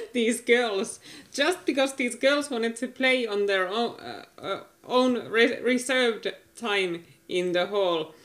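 In a Finnish accent, a woman speaks at a very slow pace. Her pitch is fairly high, with ordinary pitch variation. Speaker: podcast co-host. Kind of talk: casual chat. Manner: halting.

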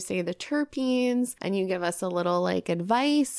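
On a very clean recording with a silent background, a woman with an American accent uses a plain, everyday voice at a medium pitch with ordinary pitch variation. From New York. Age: 30s. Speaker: podcast host. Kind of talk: casual chat; scripted intro.

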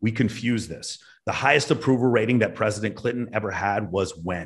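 This voice has an American accent and a confident tone, somewhat breathy at a fairly quick pace. Its pitch varies in an ordinary way. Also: man. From Texas, Dallas. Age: 40s. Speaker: former air force officer, podcaster. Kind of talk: casual chat.

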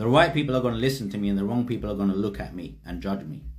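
There is audible room echo. A man speaks with vocal fry. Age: 40s. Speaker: spiritual teacher. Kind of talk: livestream talk.

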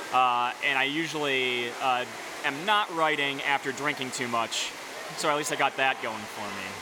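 A man talks with an American accent and ordinary pitch variation. Noticeable background noise runs under his voice. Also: moderate pace. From upstate New York. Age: 30s. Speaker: beer writer. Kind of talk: casual interview. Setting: brewery taproom, rain in background.

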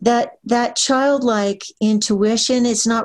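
A woman with an American accent and a plain, everyday voice, ordinary pitch variation and a fairly slow pace. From Pennsylvania, near Hershey. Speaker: author and literary agent. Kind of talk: interview.

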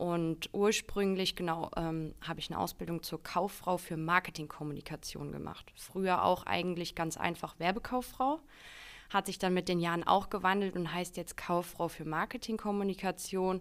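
This is a woman with a normal speaking voice, fairly low in pitch, talking at a moderate pace with fairly even intonation. The recording is very clean, with a silent background. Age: 20s. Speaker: marketing employee. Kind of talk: casual interview.

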